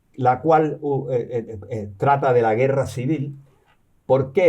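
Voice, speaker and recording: A man speaks at a very slow pace in a medium-pitched, somewhat breathy voice with a dark, mellow tone. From born in New York, partly raised in Cuba and the US, Canarian family. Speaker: professor and novelist. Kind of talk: interview. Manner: halting, many repetitions and fillers.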